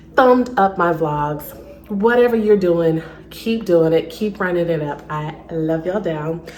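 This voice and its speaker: A woman with an American accent at a fairly slow pace, with noticeable background noise and audible room echo. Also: fairly low pitch for a woman, ordinary pitch variation. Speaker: lifestyle vlogger. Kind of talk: casual vlog talk to camera. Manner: quiet, toned down; chatty, filler-heavy.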